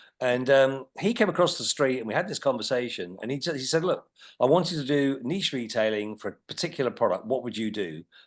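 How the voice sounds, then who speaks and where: Against a quiet background, a man with an unremarkable speaking voice talks at a fairly quick pace, with medium pitch and lively intonation. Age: 60s. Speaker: retail executive. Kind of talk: interview. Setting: podcast.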